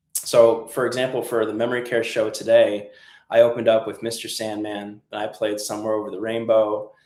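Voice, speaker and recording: A man with an American accent talks at a fairly quick pace in a flat, monotone medium pitch, his loudness swinging widely. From New England, US. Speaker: musician for senior communities, channel host. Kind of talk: live stream tutorial. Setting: live stream. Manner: casual, with fillers.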